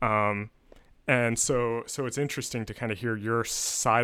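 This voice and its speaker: A man with an American accent and a bright, sharp tone speaks on a very clean recording with a silent background. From US, suburban Pennsylvania. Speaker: podcast host. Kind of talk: interview conversation.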